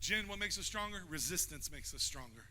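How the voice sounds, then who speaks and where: A loud, animated man's voice, high in pitch and bright and sharp in tone, with lively intonation, a very fast pace, and audible room echo. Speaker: pastor. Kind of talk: sermon. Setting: church.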